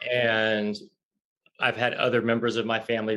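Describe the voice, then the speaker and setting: With a Southern US accent, a man talks at a fairly slow pace and medium pitch in flat, monotone intonation. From US South. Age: 40s. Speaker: author and spiritual coach. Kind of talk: interview.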